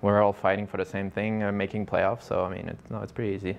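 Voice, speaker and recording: A voice with a French accent over light background noise. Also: man. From Quebec. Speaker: professional hockey player. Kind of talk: interview. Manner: halting, with many fillers and repeats.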